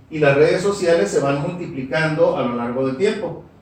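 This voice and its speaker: A man at a high pitch and fairly slow pace, with ordinary pitch variation, noticeable background noise and audible room echo. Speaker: school supervisor and master's student. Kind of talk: academic presentation. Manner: formal.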